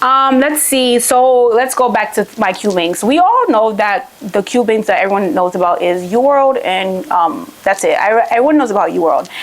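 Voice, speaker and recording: A woman with a fairly high pitch speaks in an animated tone with lively intonation and very even loudness over noticeable background noise. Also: moderate pace, hardly any pauses. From Haiti. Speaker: medical student youtuber. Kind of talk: casual tutorial vlog.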